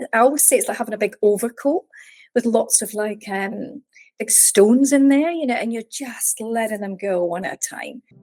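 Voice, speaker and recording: With a Scottish accent, a woman talks at a moderate pace and fairly high pitch, her dark, mellow tone showing ordinary pitch variation in a dry, close sound with no echo. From Scotland, Edinburgh. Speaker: mindset coach and meditation teacher. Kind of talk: podcast interview.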